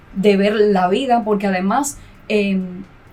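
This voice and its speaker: A woman's fairly high voice at a fairly slow pace over noticeable background noise. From Cuba. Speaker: graduate student and mother. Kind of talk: podcast interview. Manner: halting.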